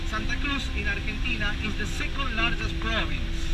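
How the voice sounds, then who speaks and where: A man talks at a moderate pace. Background music can be heard. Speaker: tour guide. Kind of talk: tour guide commentary. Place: bus.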